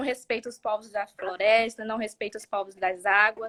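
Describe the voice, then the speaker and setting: A woman speaks at a moderate pace with fairly high pitch and fairly even intonation. The recording is very clean and dry, close with no echo, over a silent background. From southern Bahia, Brazil. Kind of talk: interview conversation. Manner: halting, many fillers and repetitions.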